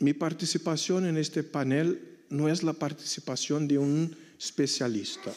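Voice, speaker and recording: At a fairly slow pace, the voice carries a dark, mellow tone and a Portuguese accent. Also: man. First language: Portuguese (speaking Spanish). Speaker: missionary priest. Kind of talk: conference talk.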